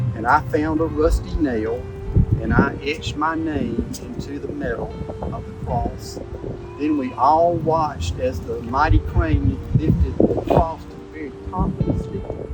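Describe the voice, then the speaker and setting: A man with a South Carolina accent speaks at a fairly slow pace with very wide pitch swings. Music plays in the background, and room echo is audible. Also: medium pitch for a man. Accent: Southern US (South Carolina). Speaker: church member. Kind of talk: testimony.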